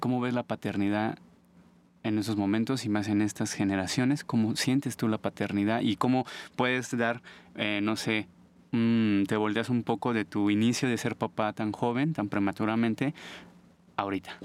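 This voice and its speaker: A man with a Mexico City accent speaks at a moderate pace and medium pitch, with fairly even intonation and very even loudness, in a very clean recording, silent background, with a dry, close sound with no echo. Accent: Mexican Spanish (Mexico City). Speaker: podcast host, visual artist. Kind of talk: casual interview. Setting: studio.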